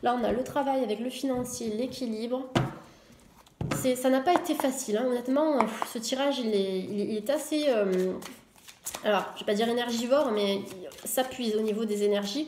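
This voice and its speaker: A woman at a high pitch with ordinary pitch variation and long, frequent pauses, amid audible room echo and noticeable background noise. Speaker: tarot reader. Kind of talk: tarot reading video. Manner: fast; hesitant, many fillers.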